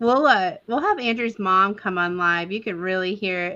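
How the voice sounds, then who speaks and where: In an American accent, a woman speaks with a bright, sharp tone. Her intonation is fairly even, and the background is quiet. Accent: Texas accent, noticeable when up north. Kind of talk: casual chat. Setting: live stream.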